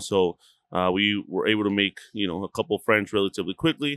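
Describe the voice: A man speaks at a fairly quick pace, his pitch fairly low and his tone fairly bright. The sound is dry and close, with no echo.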